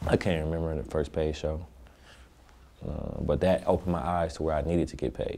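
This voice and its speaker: A soft-spoken man with a very deep, low pitch, a dark, mellow tone and vocal fry talks at a fairly quick pace. His intonation is fairly even, broken by long, frequent pauses. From Oakland, California. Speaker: rapper. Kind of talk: interview.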